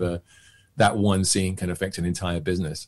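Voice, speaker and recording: A man speaks with a southern English accent. His pace is moderate. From England, near London. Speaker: actor and magician; actor. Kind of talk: casual chat. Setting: podcast interview. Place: home room. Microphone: webcam.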